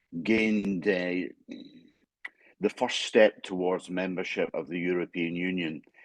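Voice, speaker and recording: In a Scottish accent, a man with a very deep, low voice speaks at a fairly slow pace with fairly even intonation and long, frequent pauses, the sound dry and close with no echo. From Scotland. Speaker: international assessment consultant. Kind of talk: panel discussion.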